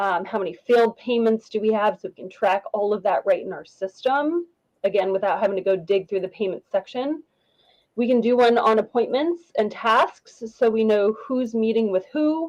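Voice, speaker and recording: A woman's fairly high voice with lively intonation, recorded dry and close with no echo. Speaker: business dashboard consultant. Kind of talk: tutorial. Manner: fast; animated.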